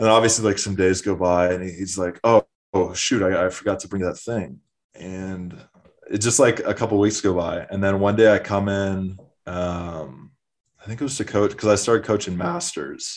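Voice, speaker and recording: A man with an American accent and a plain, everyday voice, fairly low in pitch, at a moderate pace with fairly even intonation over a quiet background. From Minnesota (Minneapolis). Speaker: former college swimmer. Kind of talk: casual interview.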